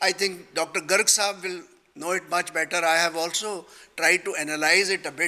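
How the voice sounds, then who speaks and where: A man projects a raised, high-pitched voice. He keeps a moderate pace. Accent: Punjabi. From Punjab, India. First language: Punjabi. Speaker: retired judge and panel speaker. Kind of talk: panel discussion. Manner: halting.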